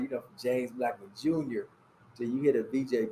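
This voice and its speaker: A normal speaking voice talks at a moderate pace. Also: man. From Fort Wayne, Indiana. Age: 50s. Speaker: high school basketball coach. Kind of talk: casual chat. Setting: cigar lounge.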